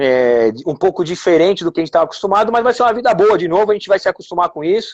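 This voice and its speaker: Talking at a very fast pace, a man uses a high-pitched voice with lively intonation. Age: 40s. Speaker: former footballer. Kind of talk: casual chat.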